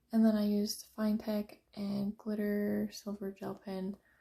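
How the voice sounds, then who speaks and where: Somewhat breathy and dark, mellow in tone, a woman at medium pitch speaks at a fairly slow pace. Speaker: coloring hobbyist youtuber. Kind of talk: casual show-and-tell.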